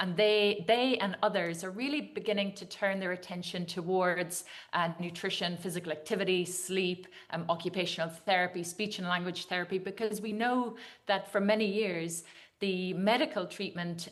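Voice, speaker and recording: A woman's medium-pitched voice in an Irish accent, moderate pace and fairly even intonation, with audible room echo. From Ireland. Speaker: dietitian and nutrition scientist. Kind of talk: conference talk. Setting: video call to a conference audience. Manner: hesitant, with many fillers.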